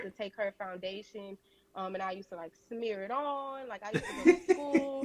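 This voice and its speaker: Over noticeable background noise, a woman with a Southern US accent speaks at a moderate pace and fairly high pitch, with lively intonation and big swings in loudness. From Louisiana. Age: 20s. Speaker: beauty entrepreneur. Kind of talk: interview answer. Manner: casual, chatty.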